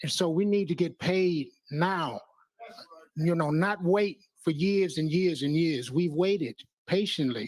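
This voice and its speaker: Speaking at a fairly slow pace with long, frequent pauses, a man uses a high pitch and ordinary pitch variation. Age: 70s. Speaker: public commenter. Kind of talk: public testimony. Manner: halting.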